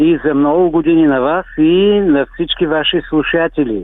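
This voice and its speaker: Speaking with a normal speaking voice, a man talks at a fairly slow pace with a fairly high pitch. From Bulgaria, Svilengrad area (Thrace). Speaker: folk singer. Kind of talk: radio interview.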